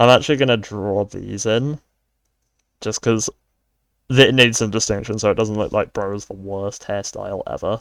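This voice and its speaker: Speaking with a British accent at a moderate pace, a man of medium pitch keeps his intonation fairly even, takes long and frequent pauses, and swings widely in loudness, all in a dry, close sound with no echo on a very clean recording with a silent background. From United Kingdom. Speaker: art and worldbuilding video creator. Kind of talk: casual narration while drawing. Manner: monotone; rambling with false starts.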